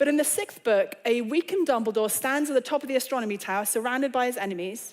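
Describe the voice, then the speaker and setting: A very fast woman's voice with an English accent, high pitch and lively intonation. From England. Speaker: author and speaker. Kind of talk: lecture. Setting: stage with audience.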